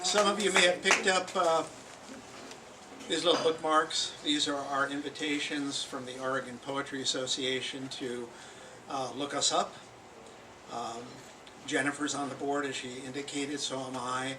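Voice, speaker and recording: A man's fairly high voice at a moderate pace, fairly even in intonation, with long, frequent pauses, audible room echo and noticeable background noise. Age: 70s. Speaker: poet. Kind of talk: informal remarks at poetry open mic. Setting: bookstore poetry reading with live audience. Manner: hesitant, with frequent fillers.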